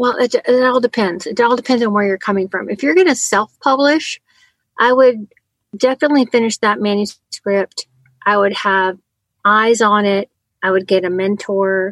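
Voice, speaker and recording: A woman with an American accent talks at a moderate pace and fairly high pitch, with ordinary pitch variation. The sound is dry and close, with no echo. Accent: slight Southern, disputed. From Colorado, Chicago area and Tennessee. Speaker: children's author and educator. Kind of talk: interview guest. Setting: recording from a home closet.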